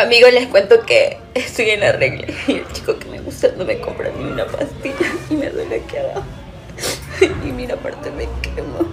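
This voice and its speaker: A woman's put-on character voice, whiny in tone and extremely high-pitched, at a moderate pace over clear background noise. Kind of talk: casual, confiding. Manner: crying, whiny. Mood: whiny, complaining, pained.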